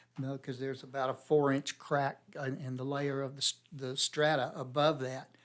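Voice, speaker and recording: A man's fairly high, monotone, flat voice with hardly any pauses. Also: moderate pace. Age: 60s. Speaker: mine explorer. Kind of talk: casual chat. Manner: halting.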